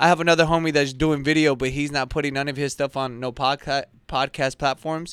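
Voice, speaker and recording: Speaking fairly quickly with hardly any pauses, a man with a fairly high voice and an American accent keeps a monotone, flat intonation, on a very clean recording with a silent background and a dry, close sound with no echo. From Southern California, West Covina area. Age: 30s. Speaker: video creator and editor. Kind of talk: casual chat.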